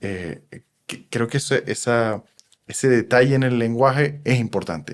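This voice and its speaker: The man's medium pitch varies in an ordinary way as he talks at a moderate pace. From Venezuela. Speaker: psychoanalyst. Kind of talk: podcast interview.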